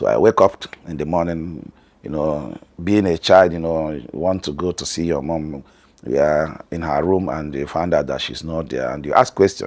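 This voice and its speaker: A man's very deep, low voice in a Nigerian accent, with ordinary pitch variation at a moderate pace. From northern Nigeria. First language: Hausa. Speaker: family vlogger. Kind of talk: personal story.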